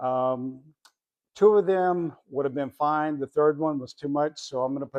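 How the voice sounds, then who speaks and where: A man with a fairly high voice talks at a moderate pace in a plain, everyday voice, with ordinary pitch variation, recorded dry and close with no echo against a quiet background. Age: 60s. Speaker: retired airline worker and finance vlogger. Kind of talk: casual vlog tutorial. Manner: conversational with fillers.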